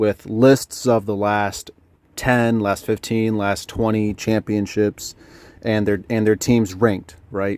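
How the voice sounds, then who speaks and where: A man speaks very slowly in a fairly low, monotone voice with flat intonation. The recording is very clean and dry, close and without echo, over a silent background. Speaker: sports commentator. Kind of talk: casual sports talk to camera. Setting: inside a truck, rain outside. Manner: hesitant, many filler words.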